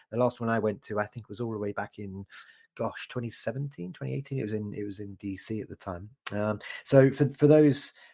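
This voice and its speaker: A man with a British accent speaks at a fairly quick pace and a fairly low pitch, in a dark, mellow tone. The sound is dry and close with no echo, on a very clean recording with a silent background. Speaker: podcast host. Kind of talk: casual chat. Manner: hesitant, many fillers.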